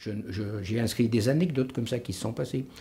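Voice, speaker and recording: A somewhat breathy man at a medium pitch and a fairly quick pace. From France, Vienne (Isère). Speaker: retired local historian and author. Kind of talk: interview. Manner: hesitant, many filler sounds.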